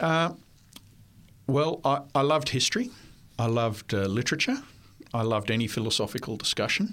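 An Australian accent at a fairly quick pace, with very even loudness and long, frequent pauses. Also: man, medium pitch for a man. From Australia (New South Wales). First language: French. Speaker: history professor. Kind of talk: interview. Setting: studio.

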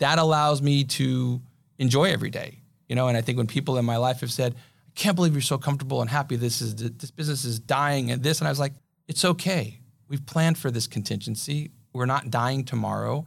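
A man with an American accent speaks at a fairly quick pace in a somewhat breathy voice with ordinary pitch variation, on a very clean recording with a silent background. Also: medium pitch for a man. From Southern California, Pasadena. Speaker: entrepreneur and CEO. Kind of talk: interview. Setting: studio.

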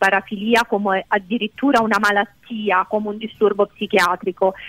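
The speech runs at a fairly quick pace with monotone, flat intonation and a dry, close sound with no echo. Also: woman. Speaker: doctor, sexologist. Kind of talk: expert discussion on radio. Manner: measured, explanatory.

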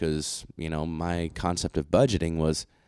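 A man speaks at a moderate pace in a very deep, low voice. The recording is very clean, with a silent background. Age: 30s. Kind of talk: interview, casual chat about faith and budgeting.

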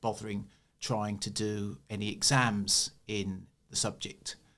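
A medium-pitched man with a southern English accent, on a very clean recording with a silent background. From eastern England. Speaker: church historian. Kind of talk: interview.

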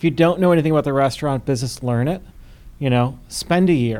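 Recorded very cleanly against a silent background, a man with an American accent has an unremarkable speaking voice at medium pitch with ordinary pitch variation. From US, Buffalo, New York. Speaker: restaurant opening consultant. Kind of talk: casual interview.

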